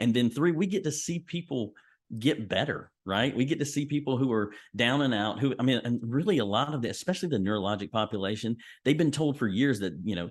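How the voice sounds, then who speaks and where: A normal speaking voice with lively intonation at a fairly quick pace. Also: man. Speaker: physical therapist. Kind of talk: casual interview.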